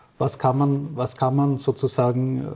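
A man's voice sits at a medium pitch and moves at a fairly slow pace. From Austria, rural. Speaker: physicist and company director. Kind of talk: interview. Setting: doctor's practice. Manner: halting.

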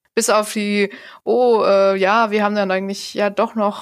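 A woman with a medium-pitched voice talks at a moderate pace in a monotone, flat intonation, on a very clean recording with a silent background. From Saxony, Erzgebirge. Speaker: podcast host and blogger. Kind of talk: casual chat.

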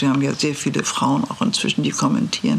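A woman's very deep, low pitch comes through noticeable background noise. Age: 80s+. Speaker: lawyer and former justice minister. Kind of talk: interview. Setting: law office.

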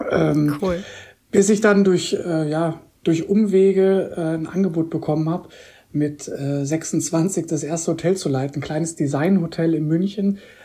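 Speaking at a fairly slow pace, a woman uses a fairly low pitch, a dark, mellow tone and fairly even intonation. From Koblenz, Rhineland, Germany. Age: 30s. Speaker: hotel general manager. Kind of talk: interview.

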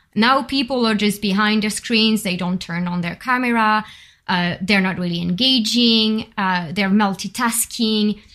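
A woman with a fairly high voice speaks at a fairly slow pace. Her tone is bright and sharp, and the recording is very clean with a silent background. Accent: French. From France, Bordeaux. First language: French. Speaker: workshop facilitator, project coordinator. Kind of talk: casual chat. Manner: animated.

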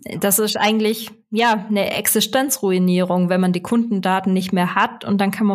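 A woman speaks with a Swabian accent. Her pitch is medium and her pace moderate. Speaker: SEO consultant and podcast host. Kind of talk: casual interview.

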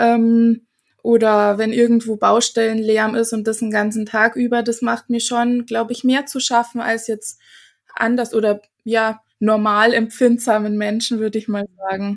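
Recorded very cleanly with a silent background, a woman speaks at a fairly slow pace and fairly high pitch in a monotone, flat intonation. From Germany, small village. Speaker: face yoga teacher. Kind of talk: interview conversation.

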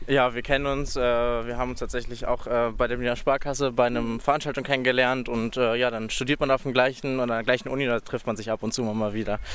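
Over noticeable background noise, the speech moves at a fairly quick pace in a flat monotone with hardly any pauses. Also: man, medium pitch for a man. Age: 20s. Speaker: university student. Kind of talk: casual chat. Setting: outdoors.

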